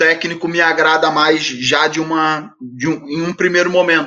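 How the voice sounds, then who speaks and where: A man speaks at a fairly slow pace in a high, bright, sharp voice. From Rio de Janeiro suburbs, Brazil. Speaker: football coach. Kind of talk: podcast interview.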